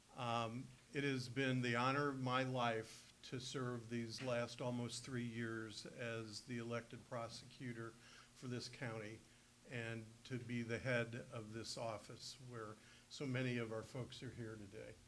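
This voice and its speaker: A man speaks at a fairly slow pace and a medium pitch, with monotone, flat intonation. Audible room echo surrounds his voice. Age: 70s. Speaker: county prosecutor. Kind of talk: press conference announcement. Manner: hesitant, many filler words.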